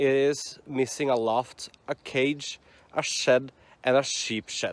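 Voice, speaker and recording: A man with a Norwegian accent and a fairly high pitch at a very slow pace, in a dry, close sound with no echo. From Norway. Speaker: hiking vlogger. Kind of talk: reading aloud. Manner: halting.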